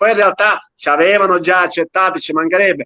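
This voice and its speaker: A man talks in a raised, projected voice. His pace is moderate. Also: dry, close sound with no echo. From Sicily, Castellammare del Golfo. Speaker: dialect poet. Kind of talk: casual chat.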